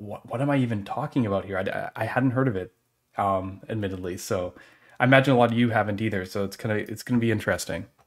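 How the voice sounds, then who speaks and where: Against a quiet background, the speech moves at a very fast pace with ordinary pitch variation. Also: man. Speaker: stream host. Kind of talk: casual live stream chat. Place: home room.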